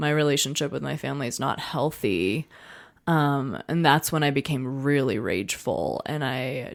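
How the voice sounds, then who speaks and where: Her voice is a woman's very deep, low pitch. She keeps a moderate pace on a very clean recording with a silent background. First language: not English. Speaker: interview guest sharing recovery story. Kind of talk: personal testimony interview. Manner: casual, many fillers.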